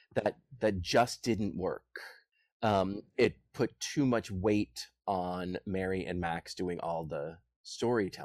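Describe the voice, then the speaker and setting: With an American accent, a man speaks very slowly at a very deep, low pitch and with ordinary pitch variation, in a dry, close sound with no echo on a very clean recording with a silent background. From US, Boston. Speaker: musical theatre composer. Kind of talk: casual interview.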